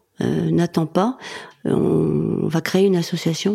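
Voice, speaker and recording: A woman talks over noticeable background noise. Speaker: comedian. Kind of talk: interview.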